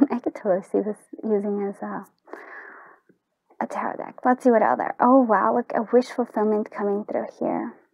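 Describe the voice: This woman's voice sits at a medium pitch with a slightly mellow tone. Vocal fry runs through it. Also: fairly even intonation, moderate pace, dry, close sound with no echo.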